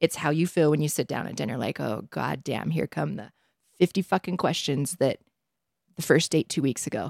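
A woman's voice sits at a very deep, low pitch and moves with lively intonation. The recording is very clean, with a silent background. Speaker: podcast co-host. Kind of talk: casual chat about dating and relationships. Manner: fast talker, witty, sarcastic; fast talker.

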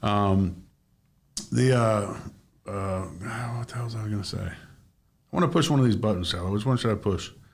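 Recorded with audible room echo, a man speaks at a moderate pace in a fairly low, somewhat breathy voice with ordinary pitch variation. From Maine, Bangor. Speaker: podcast host and real estate agent. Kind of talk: casual interview chat.

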